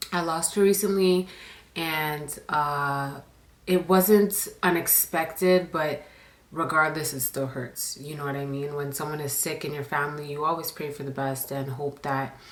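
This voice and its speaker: A woman speaks at a fairly slow pace with a very deep, low pitch and fairly even intonation. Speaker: storytime YouTuber. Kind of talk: storytime monologue. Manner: quieter than usual, normal inside voice.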